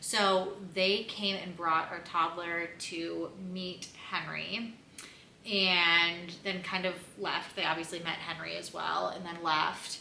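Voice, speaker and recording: A woman's fairly low, flat monotone at a very slow pace, with noticeable background noise and audible room echo. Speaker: mom vlogger. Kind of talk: casual chat. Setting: at home on the couch. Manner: loud.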